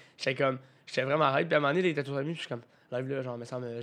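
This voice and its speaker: Speaking at a very fast pace, a man with a medium pitch uses an animated tone. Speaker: podcast co-host. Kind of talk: casual chat.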